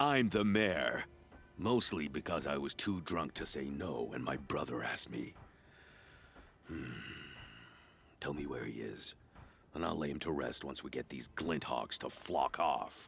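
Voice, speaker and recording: A gruff, very deep, low-pitched put-on character voice from a man, at a moderate pace with long, frequent pauses. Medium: video game. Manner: blunt, gruff, salty insults.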